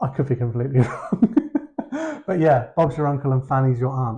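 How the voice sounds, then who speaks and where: A man talks in a medium pitch. His tone is dark and mellow, and somewhat breathy. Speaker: co-host. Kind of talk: casual chat.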